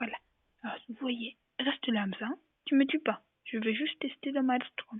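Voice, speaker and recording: Soft-spoken and high-pitched, a woman talks at a moderate pace with ordinary pitch variation and long, frequent pauses. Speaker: gaming youtuber. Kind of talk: gameplay commentary. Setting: at home. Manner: speaking softly.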